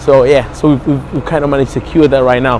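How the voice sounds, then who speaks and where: Noticeable background noise runs behind this recording. A man with an African accent speaks at a very fast pace and a fairly high pitch. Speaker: nightclub and restaurant owner. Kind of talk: casual interview.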